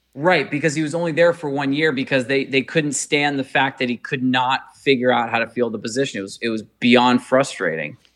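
With hardly any pauses, this unremarkable speaking voice moves along with ordinary pitch variation. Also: man, medium pitch for a man. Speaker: podcast host. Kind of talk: casual sports podcast discussion. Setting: remote recording, hosts in different cities.

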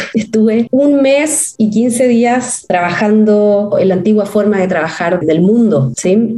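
Noticeable background noise fills the recording. Through it, a woman's voice comes across. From Chile, Santiago. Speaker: business executive. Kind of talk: interview.

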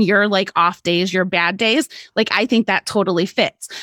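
A woman's unremarkable speaking voice at a fairly slow pace, with ordinary pitch variation, a dry, close sound with no echo, and a very clean recording against a silent background. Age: 40s. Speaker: lifestyle blogger and podcaster. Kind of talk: casual chat.

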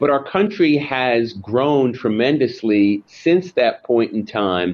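A man with an American accent and an unremarkable speaking voice talks at a fairly slow pace, medium pitch and lively intonation. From US Northeast, Long Island, New York. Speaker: lawyer and author. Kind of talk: interview.

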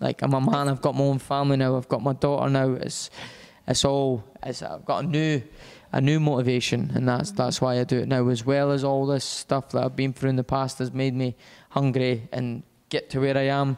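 Talking at a fairly quick pace in a Scottish accent, a man with a medium pitch keeps his intonation fairly even. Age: 20s. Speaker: professional boxer. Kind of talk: interview.

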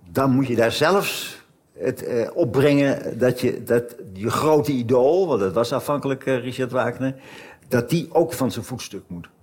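A man with a medium pitch and ordinary pitch variation speaks at a fairly slow pace over noticeable background noise. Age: 70s. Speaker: emeritus professor of German history. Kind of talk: conversation on stage. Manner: halting, many repetitions.

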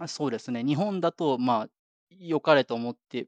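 A man's pitch swings very widely, with a quiet background behind him. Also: dry, close sound with no echo. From Japan. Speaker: software engineer. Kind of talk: casual interview.

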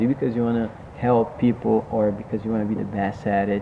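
The speech runs at a very fast pace in a monotone with flat intonation, over noticeable background noise. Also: man. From Brazil, Rio de Janeiro. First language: Portuguese. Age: 20s. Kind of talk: casual interview. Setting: recorded in a jiu-jitsu gym.

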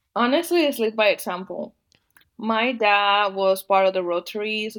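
A woman speaks with a Spanish accent. Her pitch is medium and her pace moderate. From Dominican Republic. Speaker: agricultural policy advocate. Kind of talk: interview.

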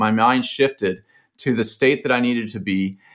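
The speaker is a man with a medium-pitched voice. His pitch varies in an ordinary way. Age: 40s. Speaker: aerospace engineer and hedge fund manager. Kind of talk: casual interview. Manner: halting.

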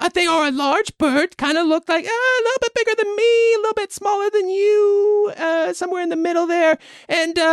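A put-on character voice at an extremely high pitch is delivered at a moderate pace. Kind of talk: comic improv. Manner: friendly, casual, chatty.

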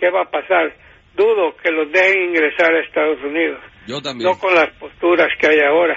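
Noticeable background noise runs under the clip. A man speaks at a high pitch and a fairly quick pace. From Honduras, San Pedro Sula. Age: 80s+. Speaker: news commentator. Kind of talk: casual news commentary.

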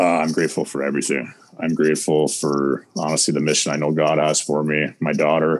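A man's very deep, low voice, monotone and flat, at a fairly quick pace with noticeable background noise. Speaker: fitness and mindset coach. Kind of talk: casual interview chat. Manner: direct.

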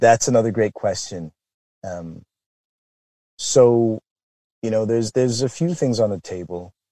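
A dark, mellow tone carries lively intonation at a fairly slow pace. Long, frequent pauses come through a dry, close sound with no echo. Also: man, medium pitch for a man. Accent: Canadian. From Canada, Toronto area. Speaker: business founder. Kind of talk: interview.

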